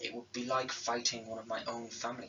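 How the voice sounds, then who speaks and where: Using a put-on character voice, a man talks at a fairly quick pace and a medium pitch. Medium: read story.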